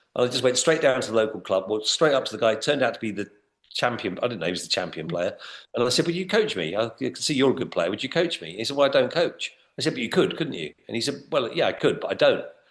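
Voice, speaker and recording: A man at a very fast pace, medium in pitch, with a British accent, very wide pitch swings and vocal fry. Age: 60s. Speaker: business trainer. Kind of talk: podcast interview. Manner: halting, with many repeated words.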